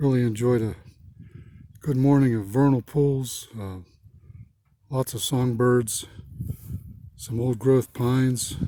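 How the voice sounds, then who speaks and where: Using an unremarkable speaking voice, a man with an American accent talks at a medium pitch with fairly even intonation. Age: 60s. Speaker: retired environmental manager and home gardener. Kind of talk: casual garden video narration. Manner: relaxed, with frequent fillers.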